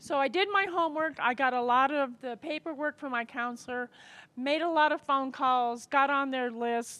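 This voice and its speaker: Raised and projected, a bright, sharp voice with an American accent moves at a moderate pace with ordinary pitch variation. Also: woman, high pitch for a woman. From Colorado, US (Englewood, Denver area). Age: 60s. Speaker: formerly homeless interviewee, prep cook. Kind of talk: interview. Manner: halting, with fillers.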